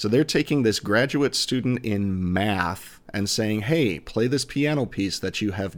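A man speaks slowly-ish in a fairly low pitch with an American accent, in a normal speaking voice. The recording is very clean, with a silent background. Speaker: fraternity province governor. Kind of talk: casual interview.

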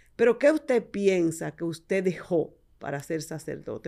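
A woman speaks with a Dominican accent. Her tone is dark and mellow, with ordinary pitch variation. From Dominican Republic, San Juan de la Maguana. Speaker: podcast host and dentist. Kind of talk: casual interview.

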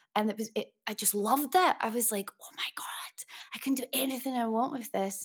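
With a Glaswegian accent, a woman speaks at a fairly quick pace and fairly high pitch, with ordinary pitch variation and big swings in loudness, in a dry, close sound with no echo. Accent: Glaswegian Scottish. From Scotland, Glasgow. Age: 30s. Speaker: music producer and singer-songwriter. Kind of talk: interview.

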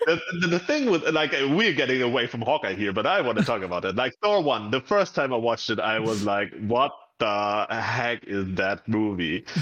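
With a German accent, a man speaks at a moderate pace with hardly any pauses. His medium-pitched voice has lively intonation. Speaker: gamer. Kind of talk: casual chat.

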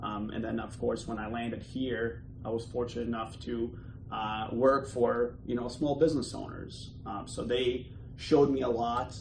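A man speaks with fairly even intonation in a room with audible echo and noticeable background noise. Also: medium pitch for a man, moderate pace. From Bosnia and Herzegovina. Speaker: entrepreneur. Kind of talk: interview. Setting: office. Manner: hesitant, many fillers.

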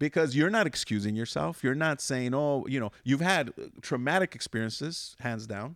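An unremarkable speaking voice with an American accent and lively intonation moves at a moderate pace, recorded very cleanly against a silent background with a dry, close sound and no echo. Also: man. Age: 50s. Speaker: podcast host. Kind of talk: casual interview chat.

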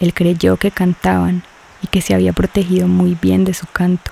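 A dramatic delivery at a fairly slow pace. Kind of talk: scripted narration. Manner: dramatic, measured storytelling, hushed and ominous on the sirens' silence; slow, rapt and tense, lingering on the sirens' gestures.

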